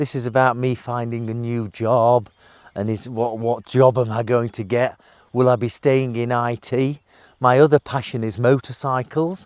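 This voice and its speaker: A man with a British accent at medium pitch and moderate pace, fairly even intonation, very clean recording with a silent background. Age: 50s. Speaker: IT manager vlogging about redundancy. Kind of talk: casual vlog monologue. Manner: halting, many fillers.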